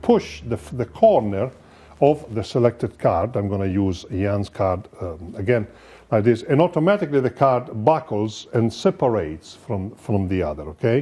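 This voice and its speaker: Against a quiet background, a man with an Italian accent speaks at a fairly slow pace. His pitch swings very widely. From Italy. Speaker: magician. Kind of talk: lecture.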